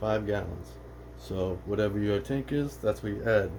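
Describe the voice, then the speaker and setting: A man mumbling at a fairly slow pace. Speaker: aquarium hobbyist vlogger. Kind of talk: casual tutorial.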